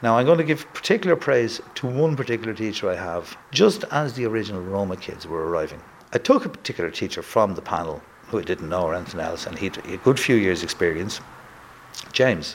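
A man with a Dublin accent at a medium pitch, very fast pace, and very wide pitch swings. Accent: Dublin Irish. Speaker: school principal. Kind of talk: interview.

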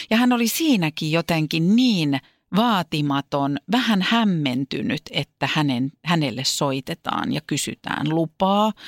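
A woman at a very slow pace with very wide pitch swings, in a dry, close sound with no echo and a very clean recording with a silent background. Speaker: podcast co-host and entertainer. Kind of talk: casual chat. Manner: distinctive stresses and speech rhythm.

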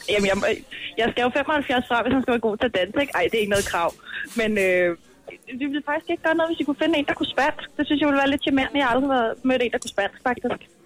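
Over noticeable background noise, a woman with a high voice talks at a very fast pace with lively intonation, the sound dry and close with no echo. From Ishøj, Copenhagen area, Denmark. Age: 20s. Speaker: radio show caller. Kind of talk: casual chat.

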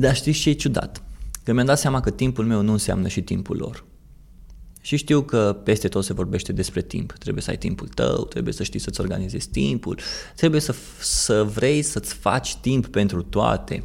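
Lively intonation and vocal fry mark a man's fairly low voice at a moderate pace. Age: 30s. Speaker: podcast host, marketer. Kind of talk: personal monologue.

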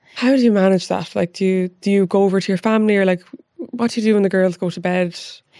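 Speaking at a very fast pace, a woman has an Irish accent and a dark, mellow tone. Her pitch is medium, with fairly even intonation. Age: 30s. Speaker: podcast host. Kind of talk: casual chat interview.

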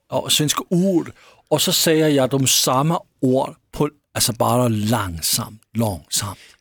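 A man speaks at a very slow pace with medium pitch, lively intonation and very even loudness, on a very clean recording with a silent background. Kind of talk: casual chat.

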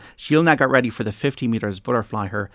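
On a very clean recording with a silent background, a man with an Irish accent talks at a fairly quick pace in a medium pitch. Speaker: radio sports host. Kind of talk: radio panel chat; news reading. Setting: radio studio.

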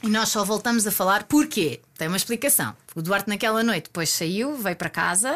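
In a very clean recording with a silent background, a woman with a normal speaking voice talks at a fairly quick pace with medium pitch and lively intonation. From Portugal, Algarve. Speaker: interview guest telling her love story. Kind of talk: casual interview, storytelling.

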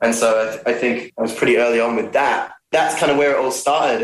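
A man talks very fast at a medium pitch. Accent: Australian. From Australia, Melbourne. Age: 20s. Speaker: singer-songwriter. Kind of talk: interview.

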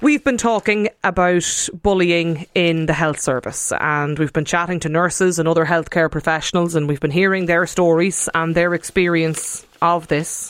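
A woman speaks with a clear, smooth tone, a fairly low pitch, fairly even intonation and few pauses. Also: moderate pace.

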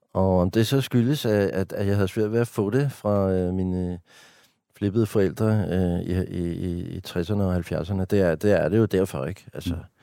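Very deep and low, a man's voice carries a dark, mellow tone. He speaks at a fairly slow pace on a very clean recording with a silent background. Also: ordinary pitch variation. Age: 50s. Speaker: stand-up comedian and writer. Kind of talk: casual interview conversation. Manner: talkative.

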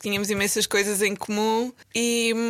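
A woman speaks in a fairly high, monotone, flat voice. Noticeable background noise is present. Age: 30s. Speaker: medical advisor in pharma. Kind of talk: casual chat.

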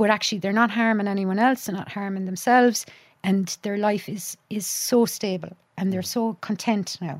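A woman with a Cork accent talks at a moderate pace and medium pitch, her intonation fairly even. The recording is very clean, with a silent background. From Ireland, County Clare. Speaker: psychologist and university lecturer. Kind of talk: casual chat. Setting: studio.

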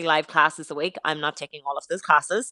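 Over a quiet background, a woman with an Irish accent speaks in a bright, sharp tone at a fairly low pitch, the sound dry and close with no echo. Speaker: fitness influencer. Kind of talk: radio interview.

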